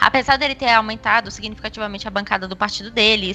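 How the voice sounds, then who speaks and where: A woman's fairly high voice at a very fast pace, with lively intonation and noticeable background noise. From Brasília, Brazil. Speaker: institutional relations coordinator, lobbyist. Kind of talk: casual chat.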